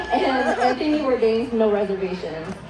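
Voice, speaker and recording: Amid noticeable background noise and audible room echo, a woman with a Vietnamese accent and a fairly high voice speaks at a fairly slow pace with ordinary pitch variation. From Vietnam, moved to US at eight. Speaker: chef. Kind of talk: keynote speech.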